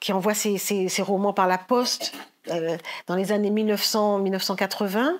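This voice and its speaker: Speaking at a fairly slow pace, a woman with a medium pitch is heard on a very clean recording against a silent background. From Paris region, France (Guadeloupean family). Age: 60s. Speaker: novelist. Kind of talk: literary talk. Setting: library event with audience. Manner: halting.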